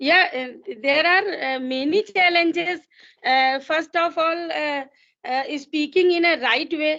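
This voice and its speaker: Her voice raised and projected, a woman speaks very slowly at a high pitch with ordinary pitch variation. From India. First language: Hindi. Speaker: English learner. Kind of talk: casual conversation practice. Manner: halting, with frequent fillers.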